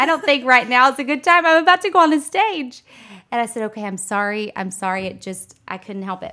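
In a raised, projected voice, a woman with a high pitch and a bright, sharp tone talks at a fairly quick pace, with very wide pitch swings and big swings in loudness. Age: 30s. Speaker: financial advisor and entrepreneur. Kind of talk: casual interview.

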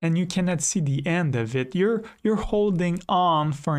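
Quiet background, a man at a fairly slow pace. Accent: French. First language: French. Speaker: storyteller. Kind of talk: personal storytelling. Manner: dramatic.

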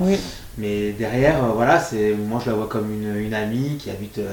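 A man speaks at a medium pitch with ordinary pitch variation, with noticeable background noise and audible room echo. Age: 30s. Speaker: single father via surrogacy. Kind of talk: testimony.

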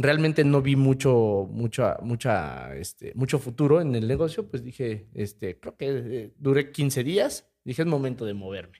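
A man with a Mexican accent and a dark, mellow tone speaks at medium pitch and a fairly slow pace, with hardly any pauses, lively intonation and big swings in loudness. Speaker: podcast co-host, sales professional. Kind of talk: casual chat.

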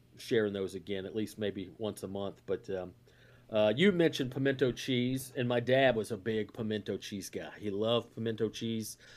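A man talks at a moderate pace with a Southern US accent. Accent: Southern US (Georgia). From US South, north Georgia. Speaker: comedian. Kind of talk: casual chat.

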